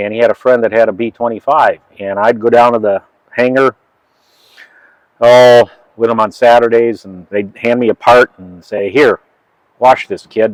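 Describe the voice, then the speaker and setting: A man with a medium pitch speaks at a moderate pace in a monotone, flat intonation, leaving long, frequent pauses. His loudness takes big swings, and the sound is dry and close with no echo. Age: 60s. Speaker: flight engineer and aircraft mechanic. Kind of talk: casual interview and walkaround explanation.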